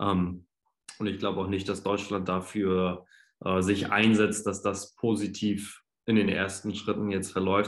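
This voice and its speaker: Against a quiet background, a man talks at a fairly slow pace in a plain, everyday voice. His pitch is fairly low. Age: 20s. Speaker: podcast guest. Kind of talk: casual chat.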